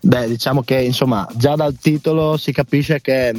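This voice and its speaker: A man with a normal speaking voice talks at a medium pitch and moderate pace, with ordinary pitch variation and a dry, close sound with no echo. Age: 20s. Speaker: band singer. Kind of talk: radio interview.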